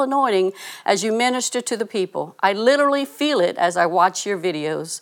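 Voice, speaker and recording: In a plain, everyday voice, a woman with a fairly high pitch speaks at a fairly quick pace with lively intonation, captured on a very clean recording with a silent background. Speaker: ministry co-leader. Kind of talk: scripted devotional segment.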